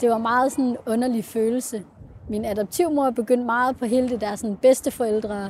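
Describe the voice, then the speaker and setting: Fairly even intonation at a moderate pace. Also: woman, fairly high pitch for a woman. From Denmark, Central Jutland. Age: 20s. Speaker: adoptee, university student. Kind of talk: personal testimony interview. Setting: on a train. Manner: hesitant, many fillers.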